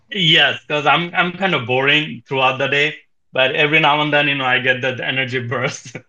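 Using a normal speaking voice, a man talks at a fairly quick pace with fairly even intonation and a fairly high pitch. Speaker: NFT space host and project founder. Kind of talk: casual chat. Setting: online audio room.

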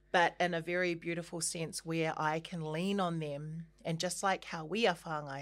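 With a New Zealand accent, a woman speaks at a moderate pace and a fairly low pitch. Her intonation stays monotone and flat. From New Zealand, Christchurch. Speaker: singer and actor. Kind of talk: casual chat.

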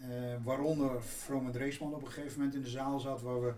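A man speaks at a fairly quick pace in a medium pitch, his intonation flat and monotone. Noticeable background noise and audible room echo fill the recording. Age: 60s. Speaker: business executive. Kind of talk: interview.

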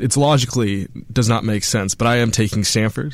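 In a plain, everyday voice, a man with an American accent talks fairly quickly at a fairly low pitch with ordinary pitch variation. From northern California. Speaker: student sports fan. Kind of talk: casual sports talk. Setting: radio studio.

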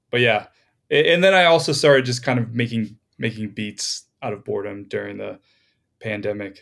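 A man with an ordinary speaking voice talks at a moderate pace in a medium pitch, with an American accent and lively intonation. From Florida. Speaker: music producer. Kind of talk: casual chat.

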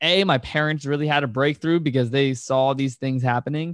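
A man with an American accent talks at a fairly quick pace in a plain, everyday voice, pitched fairly high with ordinary pitch variation. The recording is very clean with a silent background and a dry, close sound with no echo. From Virginia, US. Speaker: entrepreneur and podcast host. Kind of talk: interview conversation.

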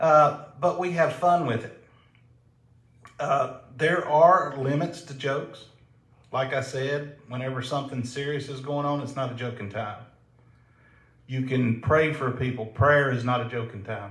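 Speaking fairly slowly with long, frequent pauses, a man with a Southern US accent and a fairly high pitch shows ordinary pitch variation and big swings in loudness, with audible room echo around him. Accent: Southern drawl. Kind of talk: casual chat.

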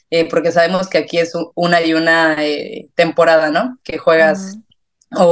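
A woman speaks in a central Mexican accent. Her pitch is fairly low and her pace fairly slow. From Mexico, San Miguel de Allende. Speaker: football fan and sports journalism student. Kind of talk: casual interview.

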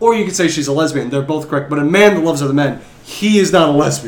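Over noticeable background noise, a man with an American accent speaks at a fairly high pitch with lively intonation. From US Midwest. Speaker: podcast co-host. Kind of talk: casual chat.

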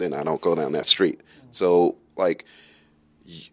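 A man's very deep, low voice with an American accent at a moderate pace, dry and close with no echo. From Brooklyn, New York and Kentucky. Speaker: car content creator and graphic designer. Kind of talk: casual chat.

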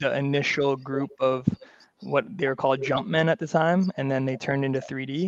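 This is an ordinary speaking voice from a man with a Canadian accent, fairly high, with ordinary pitch variation at a moderate pace. The sound is dry and close with no echo. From Vancouver, Canada. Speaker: basketball coach and league commissioner. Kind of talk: casual interview.

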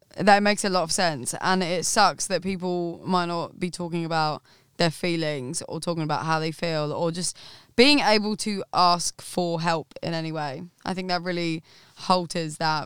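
On a very clean recording with a silent background, a woman in an Essex accent speaks with ordinary pitch variation. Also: fairly low pitch for a woman, moderate pace. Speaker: podcast guest, studio worker. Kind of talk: casual chat. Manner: animated.

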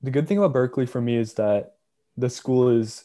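At a moderate pace, a man with a medium-pitched voice speaks in a dark, mellow tone with fairly even intonation. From South Korea. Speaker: university student. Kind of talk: casual interview.

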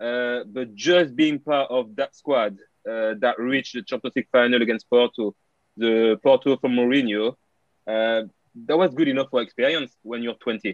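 Speaking in a French accent, the voice keeps a moderate pace and fairly even intonation. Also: man, medium pitch for a man. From France, Paris area. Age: 30s. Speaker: retired footballer. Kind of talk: interview. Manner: halting.

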